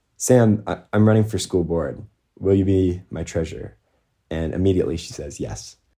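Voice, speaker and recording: With an American accent and an ordinary speaking voice, a man talks at a fairly quick pace in a fairly low pitch, his loudness swinging widely. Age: young. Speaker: student school board member and activist. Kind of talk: interview. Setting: remote recording.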